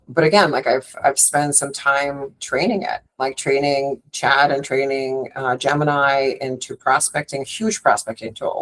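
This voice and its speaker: A woman's very deep, low-pitched voice. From Russia, Moscow. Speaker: hotel sales and marketing director. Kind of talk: podcast interview. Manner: animated.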